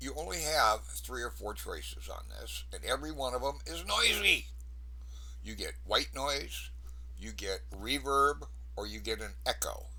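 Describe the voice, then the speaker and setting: Speaking at a fairly slow pace, a man with a very deep, low pitch and a bright, sharp tone talks in a flat monotone with vocal fry, his loudness swinging widely amid audible room echo. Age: 70s. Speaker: paranormal investigator. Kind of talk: casual talk to camera. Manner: casual, conversational.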